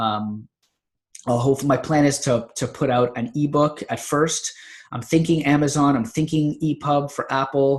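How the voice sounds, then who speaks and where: A somewhat breathy man at a fairly high pitch and fairly slow pace. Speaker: natural health author and podcaster. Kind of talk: casual vlog monologue. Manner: long run-on sentences; halting with fillers.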